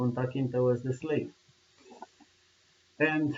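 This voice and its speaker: A man is talking. He has a Romanian accent. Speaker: video blogger. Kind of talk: monologue commentary. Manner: passionate; halting. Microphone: poor sound quality.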